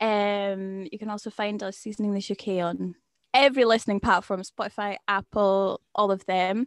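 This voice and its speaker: In a Scottish accent, a woman speaks with monotone, flat intonation, the sound dry and close with no echo in a very clean recording with a silent background. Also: medium pitch for a woman, moderate pace. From Scotland. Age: 20s. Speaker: podcast co-host. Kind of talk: interview.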